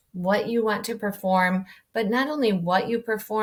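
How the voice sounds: This is a natural reading voice. It is the only thing on the clip.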